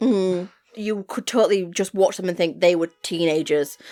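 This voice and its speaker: A woman with an English accent has a dark, mellow tone and a fairly low pitch that varies in an ordinary way. She talks at a fairly quick pace, the sound dry and close with no echo. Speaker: podcast co-host. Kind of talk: casual chat. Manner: loud.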